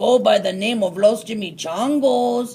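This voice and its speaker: A man does a put-on character voice that growls, pitched high for a man. His pitch swings very widely at a moderate pace. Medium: read story. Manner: solemn.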